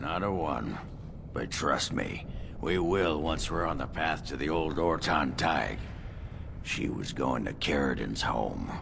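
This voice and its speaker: A man uses a put-on character voice with a very deep, low pitch, speaking at a fairly slow pace over loud background noise. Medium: video game. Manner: gruff, blunt.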